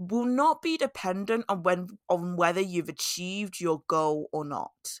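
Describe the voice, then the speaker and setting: The sound is dry and close with no echo as a woman speaks at a medium pitch. She takes a fairly slow pace and makes very wide pitch swings. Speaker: podcast host and manifestation coach. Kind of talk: solo podcast monologue. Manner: casual, laughing at herself.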